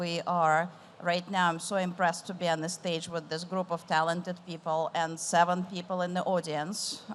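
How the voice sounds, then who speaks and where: The speaker talks at a moderate pace in an Eastern European accent with monotone, flat intonation. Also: woman. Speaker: tech executive moderating a panel. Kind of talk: panel discussion. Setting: stage with audience.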